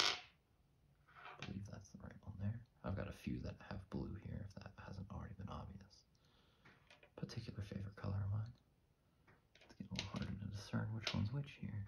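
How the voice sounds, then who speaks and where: A soft-spoken man's fairly low voice with vocal fry, a relaxed, calm tone, ordinary pitch variation and a moderate pace, over noticeable background noise. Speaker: ASMR creator. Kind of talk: ASMR soft-spoken ramble. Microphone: studio mic.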